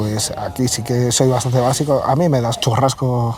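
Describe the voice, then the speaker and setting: Against noticeable background noise, a man with a Galician accent talks at a moderate pace and medium pitch with fairly even intonation. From Galicia, Vigo. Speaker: cybersecurity manager and hacker. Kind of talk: casual interview chat.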